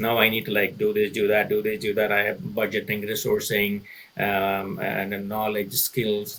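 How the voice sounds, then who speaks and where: In a Tamil accent, a man talks at a fairly quick pace. His intonation is lively. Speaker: consulting executive. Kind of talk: podcast interview. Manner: halting, frequent repetitions; animated.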